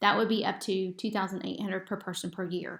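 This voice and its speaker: She speaks at a fairly quick pace in a medium pitch. The recording is very clean, with a silent background. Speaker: real estate agent. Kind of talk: sales pitch. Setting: screen recording presentation. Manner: fast; animated.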